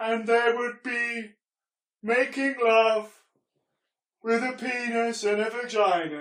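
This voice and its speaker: A man's put-on character voice, extremely high-pitched, at a fairly slow pace with long, frequent pauses and slight echo. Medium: stage play. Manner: wistful, theatrical.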